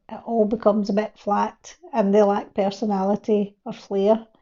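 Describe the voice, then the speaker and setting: A woman with a strong Glasgow accent, her fairly high pitch delivered in a flat monotone. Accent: broad Glasgow. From Scotland, Glasgow. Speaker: video creation coach. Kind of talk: reading from teleprompter, tutorial.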